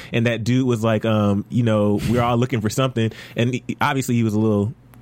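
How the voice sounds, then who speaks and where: The clip has a normal speaking voice with fairly even intonation. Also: man. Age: 20s. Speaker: TV after-show host. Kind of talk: casual chat. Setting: studio.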